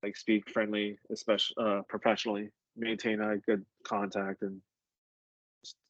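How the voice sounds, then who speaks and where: Mumbling in a monotone, flat delivery, a man leaves long, frequent pauses, and the sound is dry and close with no echo. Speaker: EMT instructor. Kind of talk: lecture. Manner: casual, many fillers.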